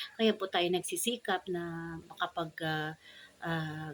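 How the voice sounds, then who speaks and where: A woman's fairly low-pitched voice with fairly even intonation. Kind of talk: devotional talk with prayer. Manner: formal.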